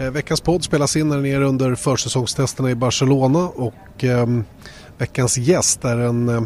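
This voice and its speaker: A man with a Swedish accent speaks at a moderate pace in a medium pitch, with ordinary pitch variation and noticeable background noise. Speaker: podcast host. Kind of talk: casual interview. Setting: on location at a race track.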